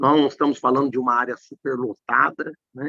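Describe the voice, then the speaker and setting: This man talks at a moderate pace in a normal speaking voice with medium pitch. The sound is dry and close, with no echo. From Brazil, Minas Gerais. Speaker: tax law professor. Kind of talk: live stream conversation.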